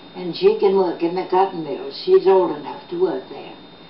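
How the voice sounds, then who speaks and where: Over noticeable background noise, a speaker with an American accent talks at a moderate pace with ordinary pitch variation. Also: woman. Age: 80s+. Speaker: local storyteller, reporter and teacher. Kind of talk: oral history storytelling. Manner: halting with fillers.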